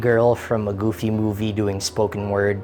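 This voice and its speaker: Backed by music, a man at medium pitch speaks at a fairly slow pace. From Philippines. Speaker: YouTuber. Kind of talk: casual vlog. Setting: friend's house. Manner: loud; animated.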